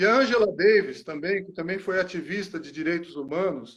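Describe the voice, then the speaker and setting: A man talks in an ordinary speaking voice. His pace is moderate and his pitch variation ordinary. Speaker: psychology lecturer. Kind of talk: panel talk. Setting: online live stream.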